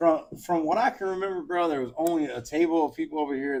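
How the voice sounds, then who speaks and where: Very fast speech comes from a man. His intonation is lively. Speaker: podcast co-host. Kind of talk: casual chat. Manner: loud; animated.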